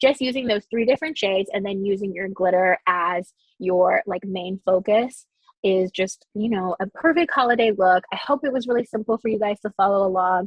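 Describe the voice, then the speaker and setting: A woman at a medium pitch, with ordinary pitch variation. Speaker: makeup artist. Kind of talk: tutorial. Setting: live stream. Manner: fast.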